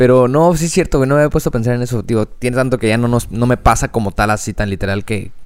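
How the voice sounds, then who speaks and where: A man at a very fast pace, with ordinary pitch variation and hardly any pauses. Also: medium pitch for a man, very clean recording, silent background. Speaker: podcast co-host. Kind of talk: casual chat.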